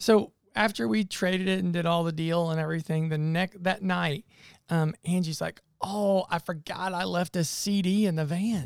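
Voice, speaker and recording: A man speaks at a high pitch. The sound is dry and close, with no echo. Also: fairly even intonation, moderate pace. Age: 50s. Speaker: church planting missionary. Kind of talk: casual chat.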